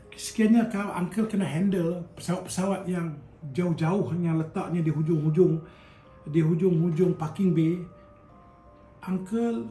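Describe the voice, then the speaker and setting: Music plays behind a man whose high voice moves at a moderate pace with ordinary pitch variation. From Kedah, Malaysia. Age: old. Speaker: retired airline worker. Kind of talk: casual storytelling to camera.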